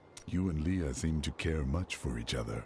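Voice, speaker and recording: A man puts on a character voice with a very deep, low pitch at a moderate pace. Background noise is clearly audible. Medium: video game. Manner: stern, terse.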